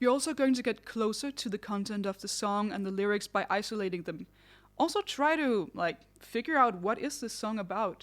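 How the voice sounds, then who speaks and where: A woman's fairly high voice in a non-native accent, lively intonation, a fairly quick pace, a very clean recording with a silent background. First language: not English. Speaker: singer and vocal vlogger. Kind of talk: tutorial. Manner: conversational.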